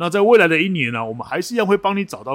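Very wide pitch swings mark a man's voice, recorded with a dry, close sound and no echo. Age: 50s. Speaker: podcast co-host, forum moderator. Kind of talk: casual chat. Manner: animated.

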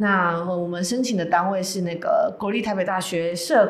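Over noticeable background noise and audible room echo, a woman speaks with fairly even intonation. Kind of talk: casual chat. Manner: talkative.

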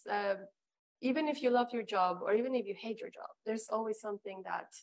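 A woman speaks at a fairly quick pace and a fairly high pitch, with ordinary pitch variation. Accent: Spanish. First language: Spanish. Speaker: flight attendant turned author and entrepreneur. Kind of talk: interview. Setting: online livestream.

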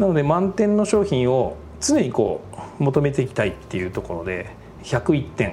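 At a moderate pace, a man talks in a medium pitch. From Japan, Aichi (Toyohashi). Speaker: food company president. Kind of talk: interview. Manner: formal; hesitant fillers.

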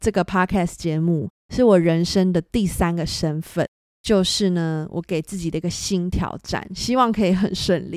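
A moderate pace and ordinary pitch variation in a Taiwanese accent, dry and close with no echo, on a very clean recording with a silent background. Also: woman, fairly low pitch for a woman. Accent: Taiwanese Mandarin. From Taiwan, Hsinchu. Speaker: podcast host, photographer. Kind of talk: solo podcast monologue.

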